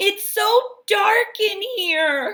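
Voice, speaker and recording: Using a put-on character voice, a woman squeaks at an extremely high pitch. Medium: read story. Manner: complaining, uneasy.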